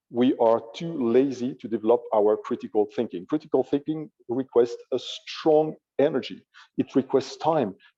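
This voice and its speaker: The speaker has a French accent and talks at a moderate pace with ordinary pitch variation. The sound is dry and close, with no echo. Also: man, medium pitch for a man. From France. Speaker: AI ethicist. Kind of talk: panel discussion.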